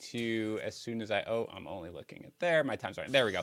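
The voice has a bright, sharp tone. The recording is very clean, with a silent background. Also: man. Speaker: fantasy baseball analyst. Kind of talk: casual chat.

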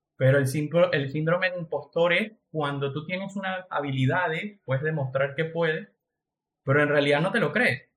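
Here is a man with a plain, everyday voice and a fairly high pitch. His pitch variation is ordinary, and his pace is moderate. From Venezuela. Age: 20s. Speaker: entrepreneur. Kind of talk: casual chat.

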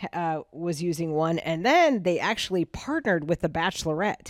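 A woman with a plain, everyday voice, fairly low in pitch, at a moderate pace with ordinary pitch variation, in a very clean recording, silent background, with a dry, close sound with no echo. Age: 50s. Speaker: podcast co-host, marketer. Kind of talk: casual chat.

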